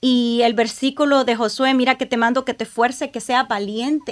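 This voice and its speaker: Against a quiet background, a woman talks at a moderate pace in a high pitch. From Honduras. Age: 40s. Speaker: church ministry leader; podcast guest. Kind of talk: testimony. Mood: emotional, reflective personal story. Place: studio. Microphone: studio mic.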